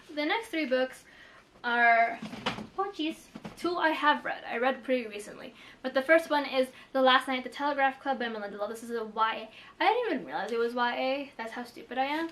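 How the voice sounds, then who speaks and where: A woman speaks in a high voice with lively intonation over noticeable background noise. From Philippines. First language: Tagalog. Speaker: booktuber. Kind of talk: casual vlog chat. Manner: casual, many fillers.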